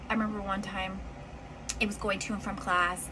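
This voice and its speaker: There is audible room echo and noticeable background noise as a woman talks in an animated tone. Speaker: storytime vlogger. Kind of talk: personal storytelling.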